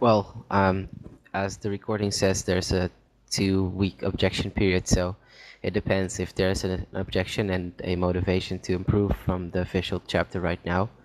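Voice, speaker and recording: Delivery is monotone and flat at a moderate pace. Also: man, very deep, low pitch for a man. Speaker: online meeting coordinator. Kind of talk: online meeting discussion. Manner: halting, stuttering.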